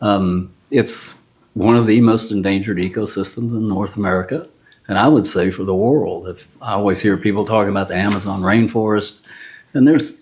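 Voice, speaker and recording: With a Texan accent, a man talks at a fairly quick pace in a fairly low pitch and ordinary pitch variation. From Texas, Houston area. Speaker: retired contractor and landowner. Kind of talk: interview. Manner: easygoing, conversational.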